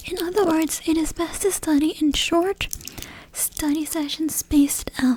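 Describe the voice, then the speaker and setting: Soft-spoken and calm in tone, the speaker moves at a fairly slow pace over noticeable background noise. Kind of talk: soft-spoken ASMR educational talk. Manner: soft-spoken, calm.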